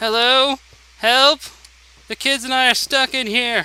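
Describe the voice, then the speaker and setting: A man uses a put-on character voice, raised and projected, at an extremely high pitch. He goes at a fairly slow pace with monotone, flat intonation. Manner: distressed, pleading.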